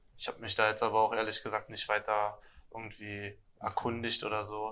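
The voice has a bright, sharp tone and monotone, flat intonation. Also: man. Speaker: handball player. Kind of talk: casual chat. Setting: restaurant table with other guests.

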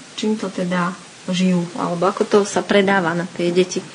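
Amid noticeable background noise, a woman speaks at a moderate pace with fairly even intonation. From Slovakia. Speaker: podcast host. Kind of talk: interview. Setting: school in Sweden.

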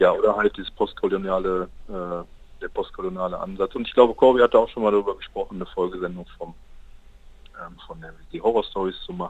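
The speech races along very fast, with big swings in loudness. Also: man. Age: 20s. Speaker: university student and campus radio member. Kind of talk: casual interview. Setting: call into radio studio.

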